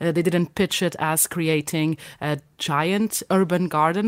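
Very deep, low woman's voice on a very clean recording with a silent background. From Portugal (Madeira). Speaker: radio producer. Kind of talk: casual chat. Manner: halting.

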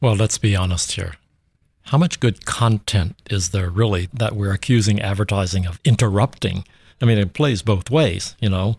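On a very clean recording with a silent background and a dry, close sound with no echo, a man talks at a moderate pace in a fairly low, somewhat breathy voice with ordinary pitch variation. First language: not English. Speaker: creative director. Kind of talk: interview conversation. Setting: in person.

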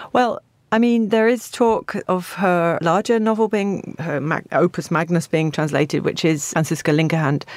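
A woman with a southern English accent speaks at a moderate pace in a fairly low voice, her intonation lively and her loudness very even, on a very clean recording with a silent background. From England, Stevenage. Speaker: literary translator. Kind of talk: interview.

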